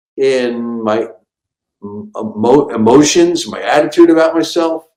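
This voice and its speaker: Music plays in the background as a man with a fairly high pitch and lively intonation talks at a fairly slow pace. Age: 60s. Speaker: comedian. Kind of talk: casual chat.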